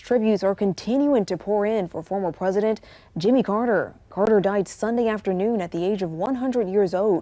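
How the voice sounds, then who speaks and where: The voice has a dark, mellow tone and an American accent, with ordinary pitch variation. There are hardly any pauses. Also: woman. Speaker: TV news anchor and field reporter. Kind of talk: broadcast news anchoring and live field reporting. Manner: polished, authoritative, measured.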